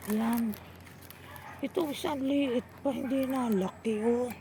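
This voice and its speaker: A woman talks at a very slow pace with ordinary pitch variation while noticeable background noise plays behind her. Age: old. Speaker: vlogger and farmer. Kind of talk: casual vlog narration. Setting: outdoors.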